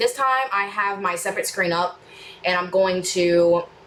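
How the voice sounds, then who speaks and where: Fairly even intonation from a woman over noticeable background noise. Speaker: reaction YouTuber. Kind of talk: casual chat to viewers, Q&A. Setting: home studio room. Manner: fast; rambling, hesitant with fillers.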